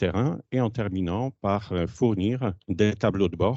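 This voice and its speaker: The speech moves at a very slow pace with ordinary pitch variation. It carries a Polish accent. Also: man. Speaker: company founder. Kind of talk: conference presentation. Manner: hesitant.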